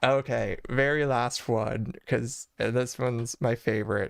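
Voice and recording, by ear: Using a put-on character voice, a man speaks at a fairly slow pace. His voice is hoarse and medium in pitch.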